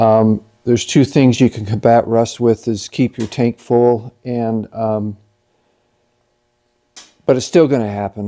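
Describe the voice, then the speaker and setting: A man talks at a moderate pace in a dark, mellow tone with fairly even intonation. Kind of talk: tutorial. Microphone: camera far.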